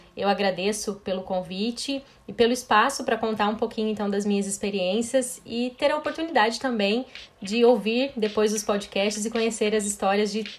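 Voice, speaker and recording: Fairly high in pitch, a woman talks in a plain, everyday voice at a moderate pace with fairly even intonation. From Brazil, western Paraná. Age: 30s. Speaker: chemical engineering professor. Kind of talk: interview.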